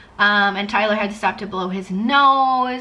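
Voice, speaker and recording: Audible room echo surrounds a woman speaking at medium pitch with ordinary pitch variation. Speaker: podcast host and vlogger. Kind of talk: casual chat. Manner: loud.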